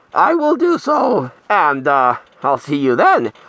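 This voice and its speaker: Raising and projecting his voice, a man speaks very slowly in a bright, sharp tone with very wide pitch swings. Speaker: horror movie collector and video host. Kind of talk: casual vlog.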